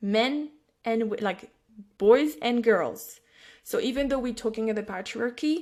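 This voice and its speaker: A woman speaks with a French accent at a fairly high pitch. She leaves long, frequent pauses. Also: ordinary pitch variation, fairly slow pace. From France. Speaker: psychic and intuitive business mentor. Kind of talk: podcast interview conversation. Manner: halting, many false starts.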